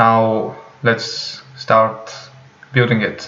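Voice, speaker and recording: Audible room echo surrounds a speaker with a non-native accent. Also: man. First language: not English. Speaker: programming tutorial creator. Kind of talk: tutorial. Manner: slow; hesitant, many fillers.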